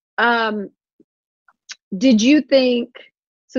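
In a dry, close sound with no echo, a woman speaks at a fairly slow pace with ordinary pitch variation. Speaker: podcast host interviewing guests. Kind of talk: casual interview.

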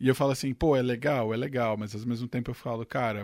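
A man speaks in a normal speaking voice at medium pitch and a fairly quick pace. His intonation is fairly even, and the recording is very clean with a silent background. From São Caetano do Sul, Greater São Paulo (ABC), Brazil. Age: 20s. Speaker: tech journalist. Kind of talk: casual chat.

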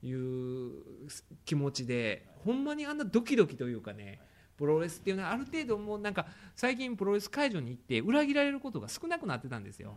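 With a Kansai accent, a man talks very fast at a high pitch in an animated tone, with very wide pitch swings and big swings in loudness. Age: 30s. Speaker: podcast host. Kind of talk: casual chat.

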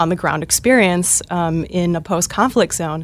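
A woman speaks in a normal speaking voice at a moderate pace and a fairly low pitch. The recording is very clean, with a silent background. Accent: American. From Minnesota (Northfield). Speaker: Army National Guard veteran, veterans organization staffer. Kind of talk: interview.

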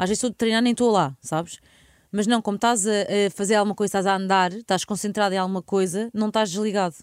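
A woman with a European Portuguese accent talks very fast at medium pitch, with fairly even intonation and very even loudness. The recording is very clean, dry and close, with no echo and a silent background. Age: 30s. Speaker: radio host. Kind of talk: casual chat.

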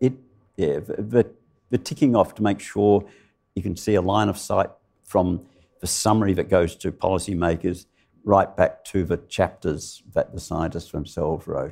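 Long, frequent pauses break up this man's speech, delivered in an Australian accent at a very deep, low pitch with ordinary pitch variation. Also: moderate pace. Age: 70s. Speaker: climatologist. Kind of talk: live interview. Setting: stage with audience.

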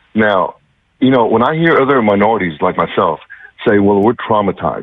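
Speech races along at a very fast pace. It is delivered with an American accent. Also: man. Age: 60s. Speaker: radio caller. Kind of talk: call-in opinion.

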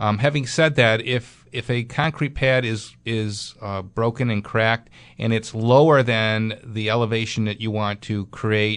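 This man has a plain, everyday voice with an American accent, medium pitch and ordinary pitch variation. He talks at a fairly slow pace against a quiet background. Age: 60s. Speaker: radio host and building contractor. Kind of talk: call-in radio show. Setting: studio.

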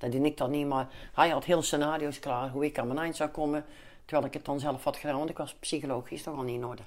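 Recorded very cleanly against a silent background, a woman speaks with a very deep, low pitch and fairly even intonation. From Netherlands, Den Bosch (North Brabant). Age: 50s. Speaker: calendar maker for veterans charity. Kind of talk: interview, personal life story.

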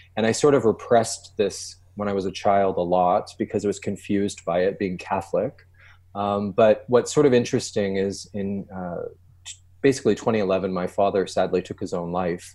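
This man has a fairly low pitch. His tone is dark and mellow. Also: fairly even intonation, moderate pace. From Canada. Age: 40s. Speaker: singer-songwriter. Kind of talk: interview.

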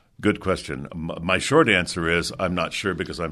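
Over a quiet background, a man speaks with a very deep, low pitch, a bright, sharp tone and vocal fry. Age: 60s. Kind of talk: radio interview.

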